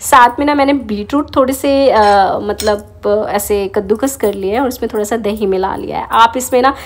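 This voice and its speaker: A woman talks at a fairly slow pace with a fairly high pitch and ordinary pitch variation. Noticeable background noise sits behind her voice. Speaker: homemaker vlogger. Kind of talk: vlog voice-over with recipe tutorial. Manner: casual, chatty.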